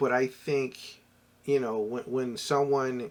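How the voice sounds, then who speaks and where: The pace is very slow. A man speaks at a medium pitch. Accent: Philadelphia. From US Northeast, Philadelphia. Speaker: entrepreneur and former corporate professional. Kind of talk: casual vlog talk.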